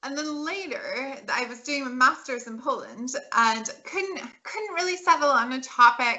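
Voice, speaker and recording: With an American accent, a woman speaks at a high pitch. Her intonation is lively. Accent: American accent, noticeable. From California. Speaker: political scientist. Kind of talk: interview. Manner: halting, many restarts.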